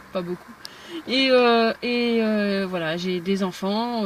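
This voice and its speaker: A woman talks at a medium pitch, her pitch varying in an ordinary way, against noticeable background noise. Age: 30s. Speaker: aspiring farmer vlogger. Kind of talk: casual vlog. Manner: halting.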